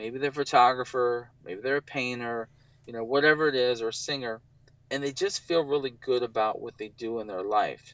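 A man with a plain, everyday voice talks at a fairly quick pace and medium pitch, with ordinary pitch variation and big swings in loudness. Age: 40s. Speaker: photographer and business owner. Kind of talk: casual interview about living with bipolar.

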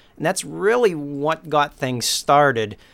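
Using an ordinary speaking voice, a man at medium pitch talks at a fairly slow pace with lively intonation on a very clean recording with a silent background. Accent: American. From eastern Massachusetts (Beverly, North Shore). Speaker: local history preservationist and community TV producer. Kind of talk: casual interview.

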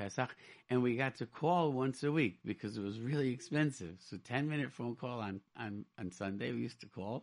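Set against a quiet background, the speech has an American accent, a moderate pace, and ordinary pitch variation. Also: man. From Rochester, New York. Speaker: radio host. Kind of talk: radio talk show. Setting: studio. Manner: animated.

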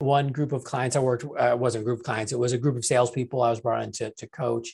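Against a quiet background, a man talks at a very fast pace in a somewhat breathy voice. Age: 40s. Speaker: sales expert and author. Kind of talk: interview.

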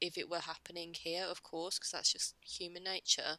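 With an English accent, a woman speaks at a medium pitch in a bright, sharp tone, the sound dry and close with no echo. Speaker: podcast co-host. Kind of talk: casual chat.

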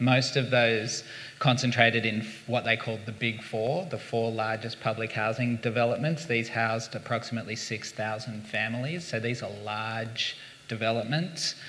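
With a plain, everyday voice and an American accent, a man speaks in a medium pitch at a moderate pace with fairly even intonation. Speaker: community design leader. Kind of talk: panel discussion. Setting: stage with audience.

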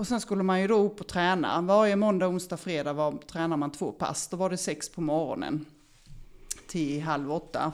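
An unremarkable speaking voice belongs to this woman, fairly low in pitch, at a moderate pace with ordinary pitch variation. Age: 50s. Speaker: former elite swimmer. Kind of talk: interview.

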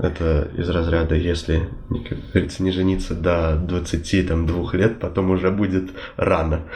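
A man speaks very slowly in a very deep, low voice, with very even loudness and flat, monotone intonation. Noticeable background noise and audible room echo are present. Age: 20s. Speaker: civil servant. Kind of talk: interview.

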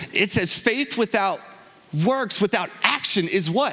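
Against noticeable background noise, a man's voice swings very widely in pitch. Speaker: guest preacher. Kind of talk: sermon. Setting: church. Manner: animated.

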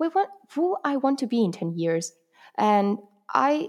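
The woman talks rather slowly. Her recording is very clean, the background totally silent. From Italy. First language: Italian. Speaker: university language student. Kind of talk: podcast interview. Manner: halting, with frequent fillers; giggly.

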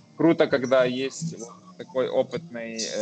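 Over music in the background, a man talks with lively intonation at a medium pitch. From western Ukraine, Lviv. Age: 30s. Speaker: IT project manager. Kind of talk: casual chat.

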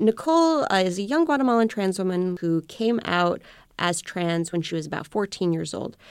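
A woman's plain, everyday voice at medium pitch with lively intonation, on a very clean recording with a silent background. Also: moderate pace. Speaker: immigration attorney. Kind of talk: interview. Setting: radio interview.

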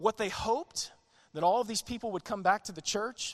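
A man with a Southern US accent and ordinary pitch variation is heard in a dry, close sound with no echo against a quiet background. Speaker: pastor. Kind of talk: sermon. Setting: church.

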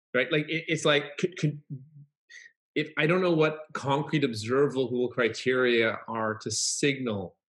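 This man has an ordinary speaking voice, talking at a fairly slow pace with a fairly high pitch and ordinary pitch variation. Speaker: author and trainer. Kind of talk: interview conversation. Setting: video call.

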